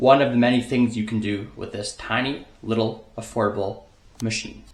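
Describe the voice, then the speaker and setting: A man's somewhat breathy voice with audible room echo. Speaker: outdoor hunting vlogger. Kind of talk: casual vlog narration.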